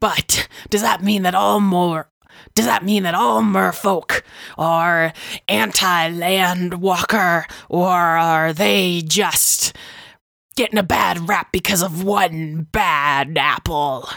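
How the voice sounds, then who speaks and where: Long, frequent pauses break up very slow speech delivered at very even loudness, on a very clean recording with a silent background. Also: woman, fairly low pitch for a woman. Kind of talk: fantasy podcast recap narration. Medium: actual play. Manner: wry, musing.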